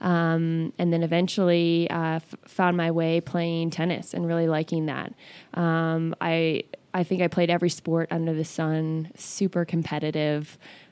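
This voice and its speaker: A woman with an American accent at a fairly slow pace, monotone and flat, on a very clean recording with a silent background. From Northern California. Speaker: fitness studio owner. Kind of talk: interview.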